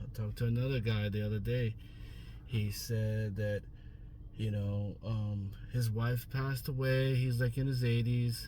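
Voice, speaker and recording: There is noticeable background noise behind this man. His fairly low voice stays monotone and flat. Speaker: driver picking up passengers. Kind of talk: casual talk to camera.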